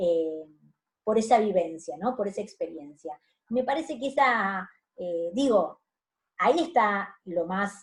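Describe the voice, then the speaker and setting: This woman's voice is somewhat breathy, and her intonation is lively. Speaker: university lecturer. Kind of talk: lecture. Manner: hesitant, many fillers.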